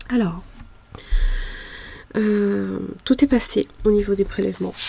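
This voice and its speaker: A soft-spoken woman talks at a very slow pace. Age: 40s. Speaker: budgeting YouTuber. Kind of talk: casual budget vlog. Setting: home mezzanine. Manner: hesitant, many fillers.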